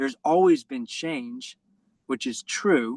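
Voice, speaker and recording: A man with a New York accent at a fairly slow pace, ordinary pitch variation, dry, close sound with no echo and a quiet background. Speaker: basketball coach trainer. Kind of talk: online presentation.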